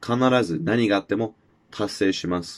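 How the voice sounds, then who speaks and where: This man talks at a moderate pace with ordinary pitch variation, the background quiet. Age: 20s. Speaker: podcast host. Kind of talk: solo monologue. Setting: self-recorded video. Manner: halting, many filler words.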